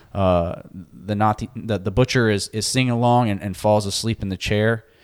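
Here a man speaks in a plain, everyday voice at a fairly low pitch. His pace is moderate and his intonation fairly even. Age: 30s. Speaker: podcast co-host. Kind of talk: casual chat.

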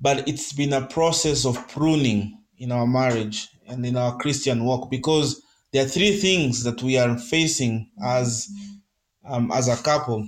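A man speaks at a medium pitch, and that pitch varies in an ordinary way. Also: fairly slow pace. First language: Kenyan mother tongue. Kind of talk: testimony and devotional talk. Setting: live podcast.

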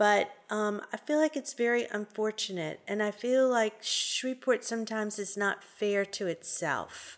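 Speaking with a New Orleans accent, a woman talks at a fairly slow pace with a fairly high pitch. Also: ordinary pitch variation. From New Orleans, Louisiana. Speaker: food bank executive director. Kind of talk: interview.

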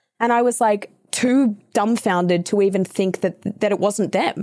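The speaker has an Australian accent and a dark, mellow tone, with ordinary pitch variation at a moderate pace. The recording is very clean, against a silent background. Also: woman. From Australia (New South Wales). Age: 20s. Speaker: voice actor and podcast host. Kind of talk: casual chat.

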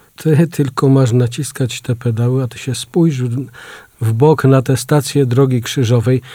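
Somewhat breathy and dark, mellow in tone, a man speaks slowly-ish at a fairly slow pace, medium in pitch with fairly even intonation. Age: old. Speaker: radio reporter. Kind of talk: casual radio chat.

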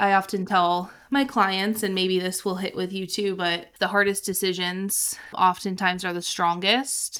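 Speaking with an American accent at a fairly slow pace with hardly any pauses, a woman has a medium pitch, a bright, sharp tone and fairly even intonation, in a very clean recording with a silent background. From Ohio. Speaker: podcast host and therapist. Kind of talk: casual chat.

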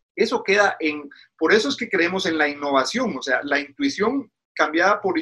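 The tone is bright and sharp. Intonation rises and falls in a lively way. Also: man. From Guatemala. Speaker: pastor. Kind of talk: interview. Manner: halting.

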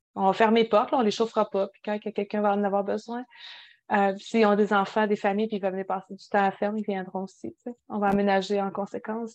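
Speaking very fast in a Quebec accent, a woman keeps a monotone, flat intonation, dry and close with no echo against a quiet background. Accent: Québécois French. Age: 30s. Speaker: podcast co-host. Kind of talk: casual chat.

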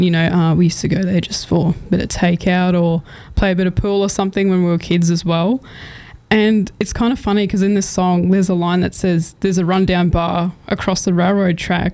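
Amid noticeable background noise, a woman speaks fairly quickly at a medium pitch, her intonation monotone and flat and her loudness very even. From southwest Queensland, Australia. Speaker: radio announcer. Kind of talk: casual interview.

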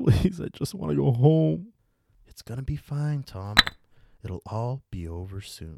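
Somewhat breathy and medium in pitch, a man speaks in a menacing, soothing tone with very wide pitch swings. The sound is dry and close with no echo, on a very clean recording with a silent background. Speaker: podcast host and storyteller. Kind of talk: ghost story telling, dramatic horror monologue in a sinister character voice. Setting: podcast recording. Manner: menacing, hushed and coaxing, with soothing shushing as the villain.

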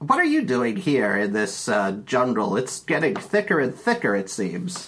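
Moderate pace and a put-on character voice from a man. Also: medium pitch for a man. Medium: actual play. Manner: chatty, bumbling.

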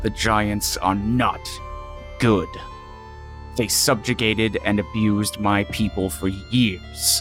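A man growls in a put-on character voice at a fairly low pitch and a fairly slow pace. Clear music plays in the background. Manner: gruff, bitter.

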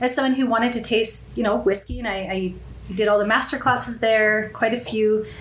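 Amid noticeable background noise and audible room echo, a woman with a Canadian accent speaks at a fairly high pitch. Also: fairly even intonation, fairly quick pace. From Canada, Winnipeg. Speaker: whisky enthusiast. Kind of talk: casual chat. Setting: studio.

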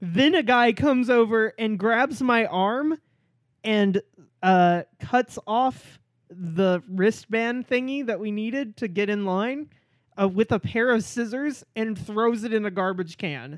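Someone with an American accent speaks at a very slow pace on a very clean recording with a silent background. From Oklahoma, Norman. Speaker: podcast co-host. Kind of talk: casual chat.

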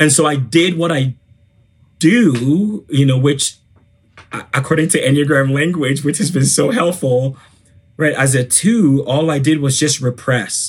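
A man's somewhat breathy, fairly high voice at a very slow pace, with ordinary pitch variation. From Ghana. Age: 30s. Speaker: former minister. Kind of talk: interview.

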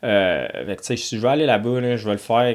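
Speaking fairly slowly, a man with a normal speaking voice keeps his intonation fairly even. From Ontario, Canada. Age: 20s. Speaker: professional motocross racer. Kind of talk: casual interview. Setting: studio.

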